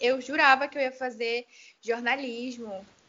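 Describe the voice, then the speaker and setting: A woman speaks at a moderate pace with a fairly high pitch and an ordinary speaking voice. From Amazonas, Brazil (Itacoatiara). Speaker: singer-songwriter and music teacher. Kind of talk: interview.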